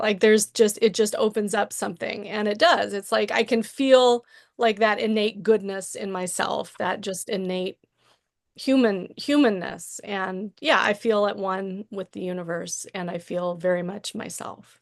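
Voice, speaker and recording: Using a normal speaking voice, a woman talks at a moderate pace and medium pitch with big swings in loudness. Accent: American. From southern Illinois, US. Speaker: podcast guest, corporate communications worker. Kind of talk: casual chat.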